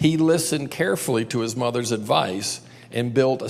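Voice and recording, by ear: Someone is reading aloud in a natural voice, and the pitch shifts an ordinary amount.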